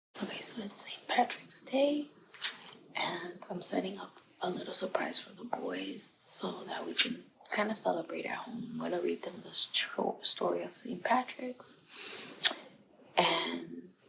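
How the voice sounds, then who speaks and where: A woman talks at a fairly slow pace with big swings in loudness. Noticeable background noise runs behind her. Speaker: family vlogger. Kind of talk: casual vlog. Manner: casual, chatty.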